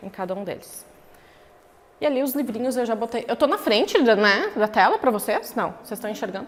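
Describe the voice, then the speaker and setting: Noticeable background noise sits behind a woman's voice. She speaks at a fairly quick pace in a fairly high pitch with ordinary pitch variation. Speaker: professor. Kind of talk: lecture. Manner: animated.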